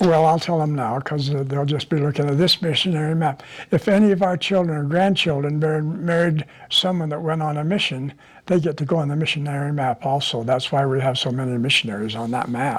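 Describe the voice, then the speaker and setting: Fairly quick, somewhat breathy male speech, pitched fairly high with ordinary pitch variation. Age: 90s. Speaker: elderly family member telling life story. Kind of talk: oral history interview. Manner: halting, many fillers.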